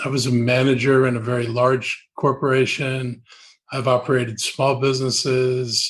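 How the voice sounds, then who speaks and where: A man talks at a moderate pace with an American accent. His voice is somewhat breathy, medium in pitch, and monotone, with flat intonation. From Washington D.C. area / Maryland, US. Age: 70s. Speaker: politician. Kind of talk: interview.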